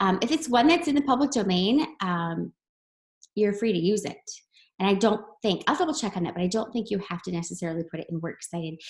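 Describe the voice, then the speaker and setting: A woman's somewhat breathy voice at medium pitch, with very wide pitch swings and a very fast pace. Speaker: teacher. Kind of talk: recorded lesson tutorial. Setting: screen-share video lesson.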